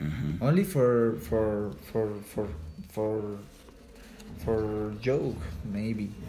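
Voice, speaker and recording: A man with a Spanish accent speaks very slowly at a fairly low pitch, with ordinary pitch variation. He leaves long, frequent pauses. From Colombia, Ubate. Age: 20s. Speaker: cycling coach and cyclist. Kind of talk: English practice interview. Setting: at home. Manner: halting, frequent repetitions.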